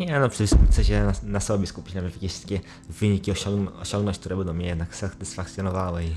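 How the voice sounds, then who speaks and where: A man with a very deep, low pitch and ordinary pitch variation, talking at a very fast pace over noticeable background noise. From Poland, Brzeg, Opole region. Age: 20s. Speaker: marathon runner. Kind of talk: interview. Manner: halting.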